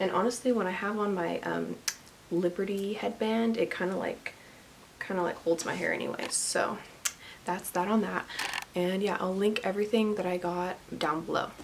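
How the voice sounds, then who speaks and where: Over noticeable background noise, a woman at medium pitch speaks with long, frequent pauses. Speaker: makeup YouTuber. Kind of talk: tutorial. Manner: fast; casual, filler-heavy.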